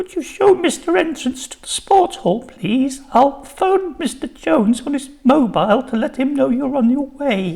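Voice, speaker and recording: In a put-on character voice, a man speaks at an extremely high pitch, his voice shaky. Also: moderate pace. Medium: read story. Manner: shaky, flustered.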